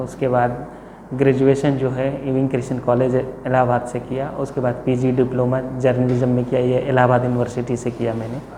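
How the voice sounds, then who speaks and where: A man speaks with monotone, flat intonation. The recording has audible room echo and noticeable background noise. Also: medium pitch for a man, hardly any pauses. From Uttar Pradesh, Allahabad. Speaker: civil services candidate. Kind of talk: mock interview. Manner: formal.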